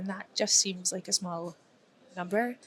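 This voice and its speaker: A woman speaks with a Dundee accent. Her pitch is medium and her intonation fairly even. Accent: Scottish (Dundee). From Scotland, Dundee. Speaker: security professional, conference speaker. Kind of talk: casual chat. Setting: conference hallway.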